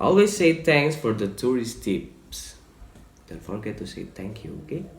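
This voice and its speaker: A man with an Indonesian accent speaks fairly slowly at a medium pitch, his pitch swinging very widely and his loudness rising and falling a lot, with vocal fry and audible room echo. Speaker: student presenter. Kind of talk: presentation. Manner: halting.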